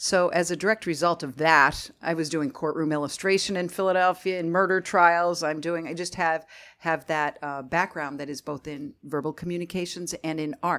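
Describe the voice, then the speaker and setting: With a Northeast Pennsylvania accent, a woman talks at a moderate pace. Her pitch is fairly low. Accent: Northeastern Pennsylvania. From Northeastern Pennsylvania (Scranton). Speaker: marketing agency owner. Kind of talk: interview.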